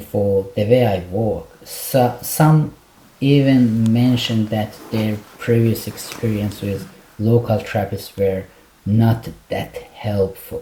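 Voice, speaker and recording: A man with an Iranian accent at a medium pitch, ordinary pitch variation and a very slow pace, amid noticeable background noise. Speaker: clinical psychologist. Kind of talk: interview.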